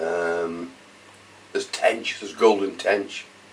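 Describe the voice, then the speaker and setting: A man talks very slowly while noticeable background noise runs underneath. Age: 70s. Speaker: fishery owner. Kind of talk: casual interview.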